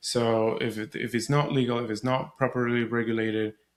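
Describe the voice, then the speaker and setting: A man with a Spanish accent at medium pitch, monotone and flat, at a moderate pace, on a very clean recording with a silent background. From Venezuela. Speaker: surrogacy podcaster and advocate. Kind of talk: podcast interview.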